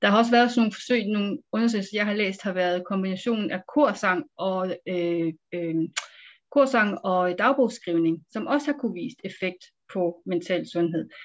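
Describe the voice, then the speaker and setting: Her pace is fairly slow as this woman speaks. The pitch is medium and varies in an ordinary way. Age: 40s. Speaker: psychiatrist. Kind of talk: interview. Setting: video call. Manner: hesitant with fillers.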